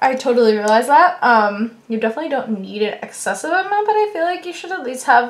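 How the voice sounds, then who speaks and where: Mumbling from a woman at a very fast pace, high-pitched with very wide pitch swings, over noticeable background noise. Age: 20s. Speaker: beauty vlogger. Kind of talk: makeup tutorial. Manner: casual, chatty.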